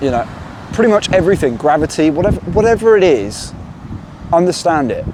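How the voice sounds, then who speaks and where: This man has a high-pitched voice. Noticeable background noise runs under his speech. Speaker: self-help video maker. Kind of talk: motivational monologue. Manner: halting.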